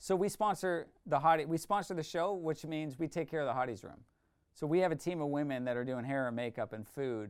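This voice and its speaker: A man speaks at a fairly quick pace in a normal speaking voice, his fairly high pitch carried by lively intonation over a very clean recording with a silent background. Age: 40s. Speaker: ministry founder and former youth pastor. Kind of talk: casual interview chat.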